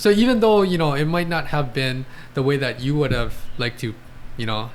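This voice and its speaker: An ordinary speaking voice from a man with lively intonation. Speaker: podcast host, athletic trainer. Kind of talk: podcast interviewer questions.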